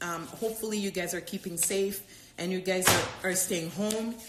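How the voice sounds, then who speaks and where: A woman at a moderate pace in a flat monotone, with audible room echo and noticeable background noise. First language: not English. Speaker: doctor and yoga teacher. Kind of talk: live Q&A stream. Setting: live stream. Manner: halting, many fillers and repetitions.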